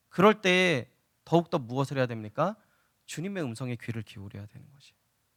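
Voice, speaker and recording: A man talks at a very fast pace with very wide pitch swings. The recording is very clean and dry, with a close sound, no echo, and a silent background. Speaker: pastor. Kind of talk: sermon. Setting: church.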